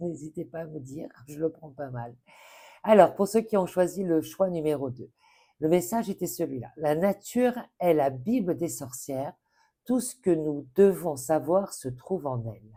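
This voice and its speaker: A woman's very deep, low voice with lively intonation and big swings in loudness. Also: very clean recording, silent background. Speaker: tarot card reader. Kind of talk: tarot reading guidance. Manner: halting, many fillers.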